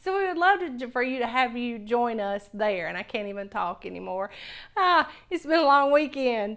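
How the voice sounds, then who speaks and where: A woman with a Southern US accent speaks at a moderate pace in a high voice, and her pitch swings very widely. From US South. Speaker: cooking channel host. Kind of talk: cooking tutorial. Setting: home kitchen. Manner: casual, enthusiastic.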